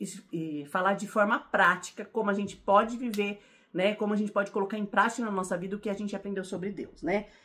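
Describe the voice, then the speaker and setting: Animated tone from a woman at medium pitch, moving at a fairly quick pace. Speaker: Bible teacher. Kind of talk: Bible teaching. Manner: fast.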